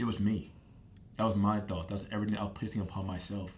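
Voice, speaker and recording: With audible room echo behind him, a man talks at a fairly quick pace in an animated tone, his fairly low voice somewhat breathy. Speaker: podcast guest sharing faith and dreams. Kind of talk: casual interview conversation. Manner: fast.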